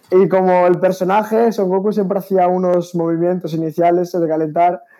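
A man with a high pitch, set against noticeable background noise. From Spain, Galicia. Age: young. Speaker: taekwondo athlete. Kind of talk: interview. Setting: video call from home. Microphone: delay on connection.

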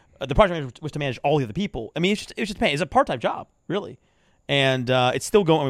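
Very fast and full of lively intonation, a man with a fairly high pitch speaks in a dry, close sound with no echo. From Persian heritage. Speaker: podcast host. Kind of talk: casual chat. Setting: outdoors.

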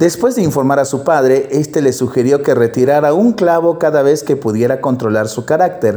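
A plain, everyday voice from a man, fairly high in pitch, moderate in pace, with hardly any pauses. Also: ordinary pitch variation. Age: 40s. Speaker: priest. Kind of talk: reading aloud; blessing.

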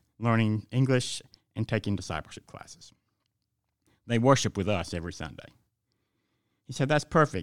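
Speaking with a Southern US accent at a fairly quick pace, the voice has lively intonation, big swings in loudness and long, frequent pauses on a very clean recording with a silent background. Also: man. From Georgia, US South. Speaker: pastor. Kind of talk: devotional reading.

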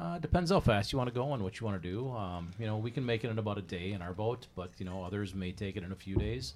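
With an Upper Midwest accent, a man speaks very fast at a fairly low pitch, with hardly any pauses. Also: ordinary pitch variation. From Wisconsin. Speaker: boater. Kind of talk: casual chat.

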